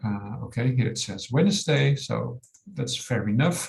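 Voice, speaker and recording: A man speaks with a Dutch accent at a moderate pace. His voice is somewhat breathy. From Netherlands. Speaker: software company owner. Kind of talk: webinar tutorial. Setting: online webinar.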